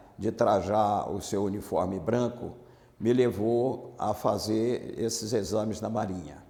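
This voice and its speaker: A man talks at a very slow pace, with audible echo from the room. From Bahia, Brazil (interior, near Feira de Santana). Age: 70s. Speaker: former navy marine, amnesty activist. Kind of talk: oral history interview.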